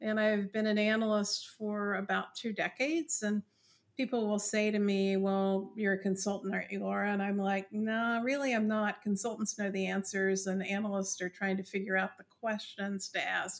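A woman talks at a moderate pace in a normal speaking voice with an American accent, her pitch medium. She hardly pauses at all, and her intonation stays fairly even. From West Virginia. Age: 60s. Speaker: industry analyst. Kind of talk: interview.

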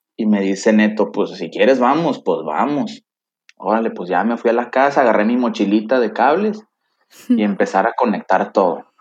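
In a normal speaking voice, a man of medium pitch talks at a moderate pace with ordinary pitch variation. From Mexico, Tampico, Tamaulipas. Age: 30s. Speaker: systems engineer, lay church volunteer. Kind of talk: faith testimony in interview.

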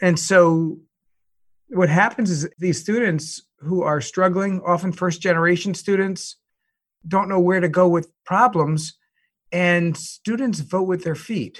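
A man speaks with an American accent in a high voice. His intonation stays fairly even. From US Northeast, Long Island. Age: 60s. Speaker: university founder and president. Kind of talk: interview conversation.

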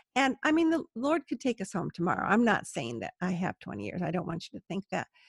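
A woman's fairly high voice with vocal fry, an American accent and very wide pitch swings, dry and close with no echo. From US, Southern California. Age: 60s. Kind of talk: interview conversation. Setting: remote call from home.

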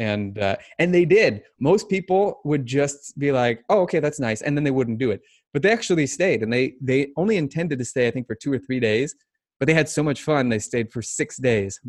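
A man with an American accent speaks at a moderate pace, his pitch fairly high. His intonation is lively, and the background is quiet. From US Midwest, Omaha, Nebraska. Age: 30s. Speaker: fitness coach and online business owner. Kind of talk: casual interview.

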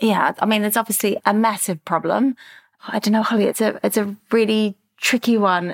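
A woman with a fairly high pitch talks at a fairly quick pace in a flat monotone, her loudness very even and the sound dry and close with no echo. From Australia, Melbourne. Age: 50s. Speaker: clothing brand founder. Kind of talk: interview.

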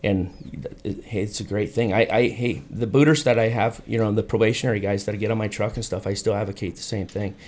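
A man with an American accent speaks at a fairly quick pace in a normal speaking voice, his fairly low pitch moving with ordinary variation and hardly any pauses. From South Dakota, US. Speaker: fire captain. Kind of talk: casual chat.

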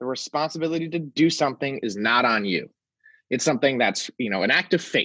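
In an American accent, a man speaks with a fairly high pitch, a bright, sharp tone and lively intonation. The sound is dry and close with no echo, against a quiet background. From South Florida. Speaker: gun violence prevention organizer. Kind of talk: interview.

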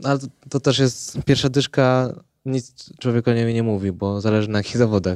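A fairly quick-paced man at medium pitch with fairly even intonation. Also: dry, close sound with no echo. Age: 20s. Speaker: ultrarunner. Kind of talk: casual chat. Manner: halting.

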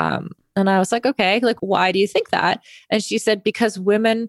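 In a very clean recording with a silent background and a dry, close sound with no echo, a woman with a normal speaking voice talks at a moderate pace with fairly even intonation. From Canada. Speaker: former pro triathlete and media founder. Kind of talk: interview conversation.

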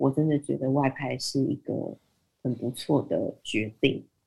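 Her voice has a dark, mellow tone and a very deep, low pitch. Vocal fry shows up as this woman talks. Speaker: business development manager. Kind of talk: interview. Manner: halting.

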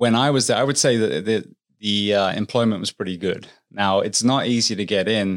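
A man at a medium pitch with an English accent and ordinary pitch variation, on a very clean recording with a silent background. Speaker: firefighter, paramedic and author. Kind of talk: interview conversation.

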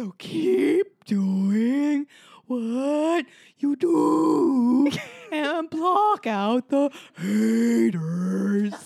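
A woman does a put-on character voice at a high pitch. She speaks at a very slow pace. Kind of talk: comic overacting. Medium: actual play. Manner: slow, drawn-out.

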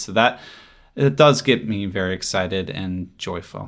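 A man speaks in an unremarkable speaking voice. His pitch is fairly low and his pace moderate. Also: very clean recording, silent background. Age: 40s. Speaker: geography professor and author. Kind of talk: interview. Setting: recorded at a conference in Quebec.

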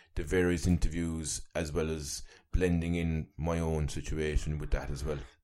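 A man talks at a moderate pace with a very deep, low pitch. The recording is very clean, with a silent background. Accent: Cork. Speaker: wellbeing coach and journalist. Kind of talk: casual interview conversation.

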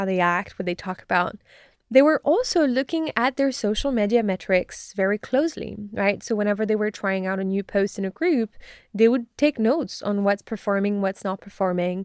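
A woman speaks with a French accent at a moderate pace. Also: medium pitch for a woman, ordinary pitch variation, dry, close sound with no echo, quiet background. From France. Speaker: disinformation researcher. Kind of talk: interview.

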